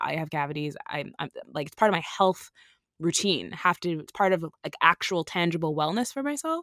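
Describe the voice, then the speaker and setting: A woman's ordinary speaking voice, fairly low in pitch, fairly quick and lively in intonation, in a very clean recording with a silent background. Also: dry, close sound with no echo. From Canada. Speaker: antiracism educator and writer. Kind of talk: interview conversation.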